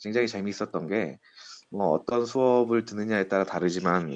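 This is a man with a plain, everyday voice. He speaks at a moderate pace with a fairly low pitch. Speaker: business consultant. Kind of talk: interview.

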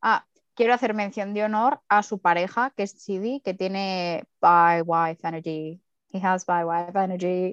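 Speaking at a fairly slow pace, a woman with an ordinary speaking voice keeps a medium pitch and ordinary pitch variation, in a dry, close sound with no echo. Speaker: podcast co-host. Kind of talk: casual chat.

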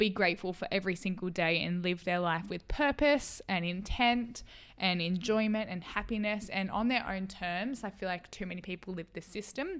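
An Australian accent at a moderate pace, with ordinary pitch variation, on a very clean recording over a silent background. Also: woman. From Australia, rural New South Wales. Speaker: podcast co-host. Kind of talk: casual chat. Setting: at home.

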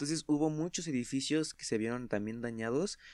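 On a very clean recording with a silent background, a man with a plain, everyday voice and medium pitch speaks at a fairly quick pace. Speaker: podcast guest. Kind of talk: casual chat.

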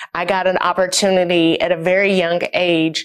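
Over a quiet background, a woman with an American accent talks in an unremarkable speaking voice at a moderate pace and medium pitch. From US South, East Tennessee (Knoxville). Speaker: wellness company co-founder. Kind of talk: interview testimony.

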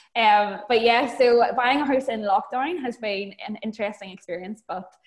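Moderate pace and ordinary pitch variation from a woman at a medium pitch. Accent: Northern Irish. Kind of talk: casual chat. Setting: video call.

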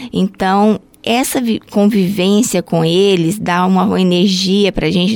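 A woman's medium-pitched voice at a very slow pace, her intonation fairly even. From Brazil, Goiânia (Goiás). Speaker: health unit supervisor at a ballet school. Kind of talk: interview.

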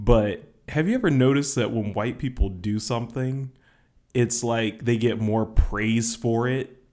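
This man speaks in a Southern US accent at medium pitch. His intonation stays fairly even. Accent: Southern US drawl. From Georgia, US South. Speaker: podcast co-host. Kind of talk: casual chat.

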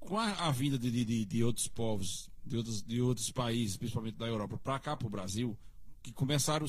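His voice has a somewhat breathy quality. The man talks at a fairly quick pace. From Brazilian Northeast, Cariri region of Paraíba. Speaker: local history expert. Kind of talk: casual interview.

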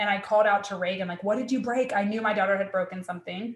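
A woman speaks with an American accent at a medium pitch. It is an ordinary speaking voice. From US South. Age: 30s. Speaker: criminology professor. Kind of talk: casual chat.

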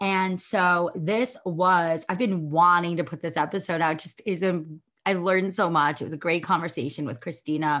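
In a warm, enthusiastic tone, the speaker moves at a moderate pace with hardly any pauses and ordinary pitch variation against a quiet background. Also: woman, fairly low pitch for a woman. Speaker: podcast host and manifestation coach. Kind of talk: casual interview podcast.

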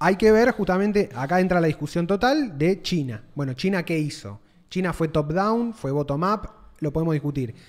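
Lively intonation marks this man's high voice with a Rioplatense accent. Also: moderate pace. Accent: Argentine Rioplatense Spanish. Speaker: podcast co-host. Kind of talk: casual chat.

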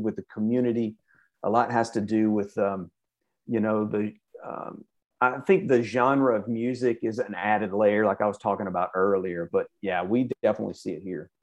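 A man with a Southern US accent and a medium-pitched voice talks at a moderate pace over a quiet background. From Birmingham, Alabama. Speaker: music festival organizer. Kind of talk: casual chat.

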